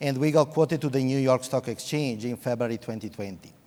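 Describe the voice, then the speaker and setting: A man's dark, mellow, medium-pitched voice in an Italian accent, fairly quick, with ordinary pitch variation. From Italy, Venice. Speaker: IT executive. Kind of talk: panel discussion.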